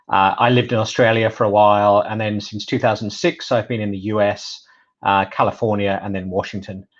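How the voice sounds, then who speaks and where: A man with a British accent talks at a fairly quick pace in a fairly low pitch. His intonation is monotone and flat, over a quiet background. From UK. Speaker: data privacy specialist. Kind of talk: webinar presentation.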